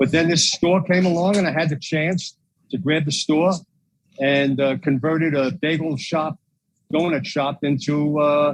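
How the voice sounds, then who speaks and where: A man with a New York accent, fairly high pitch and a fairly slow pace. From New York, Queens. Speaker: bagel shop owner. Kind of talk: interview. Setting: in a bakery kitchen.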